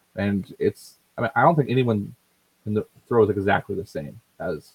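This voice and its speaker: Dry and close with no echo, this recording features a man with an American accent. He has a fairly low pitch and a plain, everyday voice. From US. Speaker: podcast co-host.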